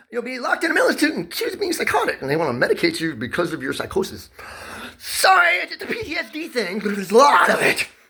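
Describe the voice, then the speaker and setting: A man talks very rapidly while noticeable noise fills the background. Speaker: vlogger telling personal grievances. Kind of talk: casual monologue. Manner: loud; pressured, rapid speech.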